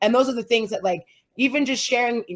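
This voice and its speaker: Speaking at a fairly quick pace, a woman uses an animated tone and fairly high pitch. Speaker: entrepreneur and influencer. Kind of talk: casual chat. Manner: loud.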